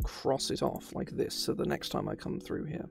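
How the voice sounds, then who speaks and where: Music plays in the background. A man talks at a fairly quick pace. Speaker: tabletop RPG streamer and game designer. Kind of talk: casual live stream talk. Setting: live stream. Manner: fast, stumbling over words.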